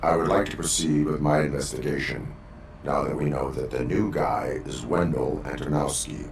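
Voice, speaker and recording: A man's put-on character voice, very deep and low in pitch, at a moderate pace over clear background noise. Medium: machinima. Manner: flat, clipped.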